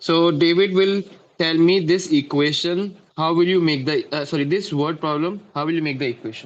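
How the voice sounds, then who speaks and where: Speaking in an Indian accent at a moderate pace, a man has a high pitch and fairly even intonation. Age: 20s. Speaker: math tutor. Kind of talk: online class lesson. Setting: video call.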